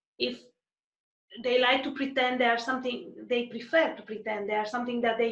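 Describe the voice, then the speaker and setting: Room echo is clearly audible as a woman with a high voice speaks fairly quickly and with fairly even intonation. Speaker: podcast host, advertising strategist. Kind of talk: interview.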